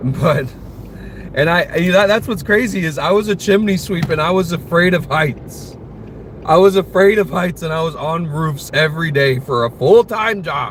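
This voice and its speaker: Over noticeable background noise, a man speaks in an American accent at a moderate pace. His pitch is high, with ordinary variation. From United States. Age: 20s. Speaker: streamer. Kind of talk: casual chat. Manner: casual, filler-heavy.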